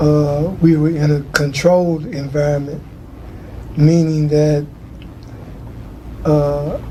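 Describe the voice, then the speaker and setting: A man's very slow, fairly high-pitched, monotone, flat delivery with long, frequent pauses, audible room echo and noticeable background noise. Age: 60s. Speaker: formerly incarcerated man. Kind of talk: testimony. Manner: hesitant, many fillers.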